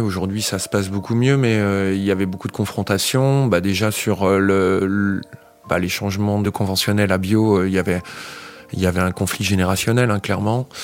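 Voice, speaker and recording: At a moderate pace, a man speaks with a fairly low pitch and fairly even intonation over noticeable background noise. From France, Essonne (Île-de-France). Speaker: organic farmer. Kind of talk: interview. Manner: halting.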